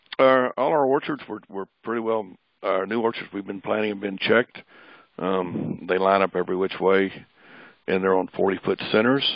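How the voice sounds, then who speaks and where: A man with a Midwestern US accent speaks in a fairly low voice, his pitch moving in an ordinary way. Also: moderate pace. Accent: rural Midwestern US. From northern Missouri. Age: 60s. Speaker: pecan farmer. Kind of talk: webinar lecture.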